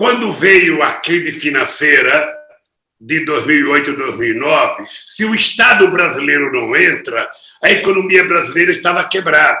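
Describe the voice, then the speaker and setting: Putting on a character voice, a hoarse, high-pitched man speaks at a moderate pace with lively intonation and an audible echo. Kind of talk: political speech.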